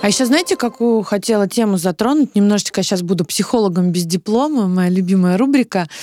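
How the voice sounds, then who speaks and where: Very fast and with hardly any pauses, a woman speaks at a medium pitch with ordinary pitch variation and very even loudness. Her tone is dark and mellow, and the sound is dry and close, with no echo. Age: 30s. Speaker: podcast co-host. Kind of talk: casual chat.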